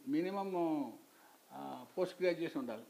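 With lively intonation, a man speaks in a high pitch and a dark, mellow tone. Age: 60s. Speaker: retired engineer and college lecturer. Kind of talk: interview answer. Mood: calm, reflective storytelling. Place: home room. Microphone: lapel.

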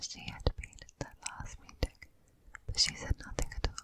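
A breathy, whispering woman at a moderate pace. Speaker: ASMR creator. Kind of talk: whispered audiobook reading. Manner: whispered, soft, breathy. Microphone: studio mic.

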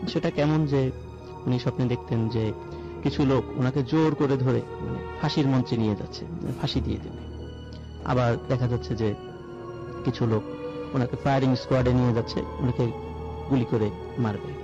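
The sound is dry with no echo. Clear music plays in the background. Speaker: caller telling a ghost story. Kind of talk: live story telling to radio audience. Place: studio. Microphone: studio mic.

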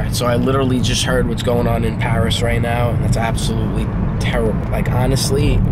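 Loud background noise sits under a man talking at a very fast pace. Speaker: DJ vlogger. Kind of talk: casual vlog chat. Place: car. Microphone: phone near.

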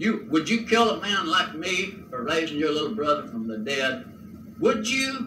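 A man speaks in a raised, projected voice with a Southern US accent, at a fairly slow pace. His pitch swings very widely, and there is noticeable background noise. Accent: Southern American. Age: 70s. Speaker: folk artist and preacher. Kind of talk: preaching sermon. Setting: home cassette recording. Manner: fervent, emphatic.

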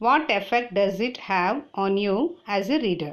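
A woman speaks with a Tamil accent and lively intonation. The recording is very clean, with a silent background. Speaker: teacher. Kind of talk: reading aloud.

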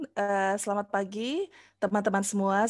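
A woman speaks at a medium pitch and a fairly slow pace. The background is quiet. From Central Java and Bandung, West Java; West Java, Indonesia. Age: 50s. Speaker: university lecturer. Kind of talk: lecture. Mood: warm, friendly. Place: home room. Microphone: headset.

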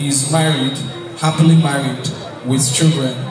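Amid audible room echo and clear crowd noise in the background, a man talks at medium pitch with fairly even intonation.

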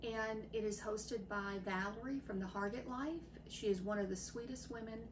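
A woman's fairly even intonation amid noticeable background noise. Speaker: home cooking vlogger. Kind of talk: casual vlog chat. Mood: friendly, warm. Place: kitchen.

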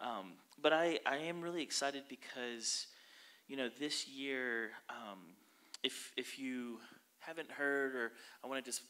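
A man speaks at a fairly slow pace in a bright, sharp tone. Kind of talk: sermon. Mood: warm, upbeat. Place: church. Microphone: handheld.

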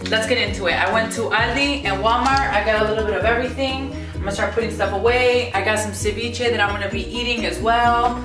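A woman at a very fast pace with hardly any pauses, clear music in the background. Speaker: vlogger. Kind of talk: casual vlog chat. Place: kitchen. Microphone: camera far.

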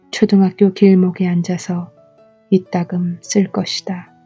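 A woman's medium-pitched voice, monotone and flat, at a very slow pace with music in the background. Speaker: poet reading her own poem. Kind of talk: poetry reading. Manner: soft, lullaby-like ASMR.

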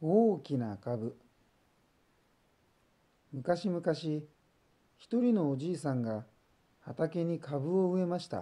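The voice has a calm, gentle tone that is also dark and mellow, with lively intonation. It moves at a very slow pace with long, frequent pauses. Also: man, fairly high pitch for a man. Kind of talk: bedtime story reading for children. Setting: voice only.

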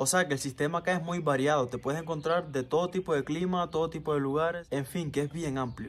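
Using an unremarkable speaking voice, a man talks at a fairly quick pace with fairly even intonation. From Cuba. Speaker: vlogger. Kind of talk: casual vlog monologue. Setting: outdoors in backyard. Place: garden. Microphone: phone near.

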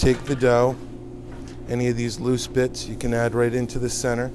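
Noticeable background noise sits behind the speaker. A man talks at a moderate pace. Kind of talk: tutorial. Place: kitchen.

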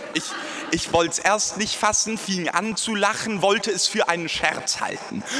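Man with a high-pitched, playful voice, fairly even intonation, moderate pace and light background noise. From Germany. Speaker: slam poet. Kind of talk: poetry slam performance, rhymed spoken-word poem with audience. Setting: stage with audience. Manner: self-deprecating, playful tone. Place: church.

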